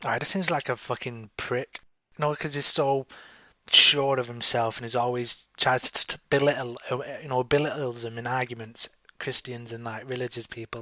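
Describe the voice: At a moderate pace, a man with a medium pitch and a bright, sharp tone keeps his intonation fairly even.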